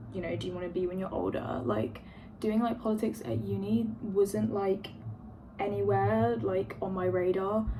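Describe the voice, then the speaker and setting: Over noticeable background noise and audible room echo, a woman with a London accent speaks at a fairly low pitch with very wide pitch swings. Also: moderate pace. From London, England. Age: 20s. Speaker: vlogger, university student. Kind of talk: casual get-ready-with-me vlog. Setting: at home by an open window. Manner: filler-heavy, rambling with many ums and likes.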